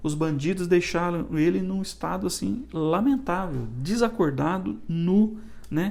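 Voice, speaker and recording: Amid audible room echo, a man with a high pitch and lively intonation speaks at a fairly slow pace. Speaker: church elder teaching Sunday school. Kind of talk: Bible study lecture. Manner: halting, with frequent restarts and fillers.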